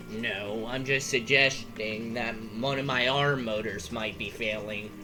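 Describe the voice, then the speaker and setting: Over loud background noise, a man puts on a character voice at a medium pitch, talking at a fairly slow pace. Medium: machinima. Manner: exasperated, sarcastic.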